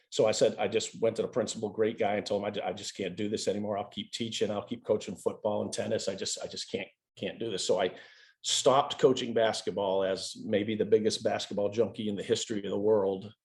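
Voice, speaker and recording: A man talks at a very fast pace with an American accent. The background is quiet. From New England, later western North Carolina. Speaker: basketball coach. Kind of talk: podcast interview. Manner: animated, halting with repeated words.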